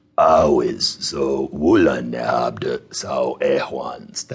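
Very slow pace in a put-on character voice from a man

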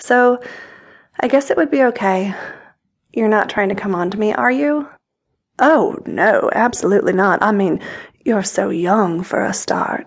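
Playful and confident in tone, a woman with a fairly high pitch speaks at a fairly slow pace with lively intonation and long, frequent pauses. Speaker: audiobook narrator. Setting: studio. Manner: intimate, sensual, unhurried storytelling with a teasing, playful tone.

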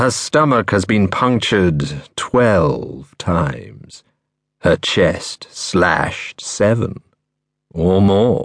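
A man's fairly low voice with vocal fry, calm and menacing in tone, with lively intonation, a very slow pace, and very even loudness. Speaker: audiobook narrator. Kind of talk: dark first-person thriller narration, read aloud. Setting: studio. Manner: measured, chillingly calm and menacing; lingering, atmospheric delivery of grisly imagery.

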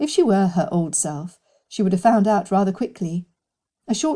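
Over a quiet background, pitch moves in an ordinary way through an unforced reading voice.

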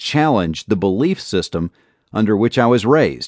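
With an ordinary speaking voice, a man at a fairly low pitch uses lively intonation against a quiet background in a dry, close sound with no echo. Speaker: audiobook narrator reading author's memoir. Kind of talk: audiobook reading of a first-person memoir, steady and reflective. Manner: calm, measured, earnest.

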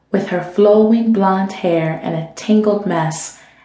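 An unforced reading voice, pitch varying in an ordinary way

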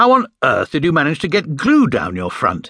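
In a put-on character voice, a man speaks at a fairly high pitch with very wide pitch swings, a bright, sharp tone and a slightly husky edge, captured in a very clean recording with a silent background. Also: moderate pace.

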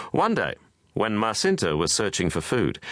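A solemn tone with vocal fry against a quiet background. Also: man. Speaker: audiobook narrator.

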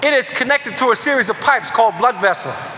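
A man with an extremely high pitch speaks in an animated tone and a raised, projected voice at a moderate pace, with noticeable background noise. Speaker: motivational speaker. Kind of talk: audiobook-style motivational lecture. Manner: animated, emphatic, driving repetition; faith-infused, preacherly cadence.

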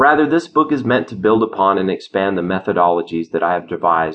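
In a normal speaking voice, a man with a fairly low pitch talks at a fairly quick pace with lively intonation. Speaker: audiobook narrator and author. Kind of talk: audiobook reading of his own nonfiction, a clear, explanatory lecture-like delivery. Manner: earnest, measured and didactic, with a steady, conversational authority; persuasive, with a confident, slightly contrarian edge.

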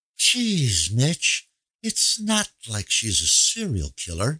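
A man's put-on character voice at medium pitch, very wide pitch swings, a very slow pace, and a dry, close sound with no echo. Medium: read story. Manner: joking, teasing.

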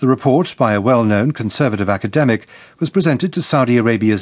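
Speaking very fast with lively intonation, a man with a British accent has a medium-pitched voice, and the background is quiet. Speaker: news presenter. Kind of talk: crisp international radio news bulletin reading. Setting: studio. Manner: measured, neutral and authoritative newsreader delivery; formal, clipped headline phrasing with brisk hand-offs to reporters.

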